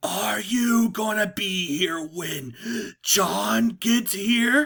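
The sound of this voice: Put-on character voice, fairly high, raspy and gravelly, at a very slow pace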